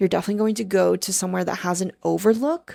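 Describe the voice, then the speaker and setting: Soft-spoken and very fast, a woman talks at a medium pitch with a dark, mellow tone. The recording is very clean, with a silent background. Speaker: tarot reader. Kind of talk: casual monologue. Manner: animated.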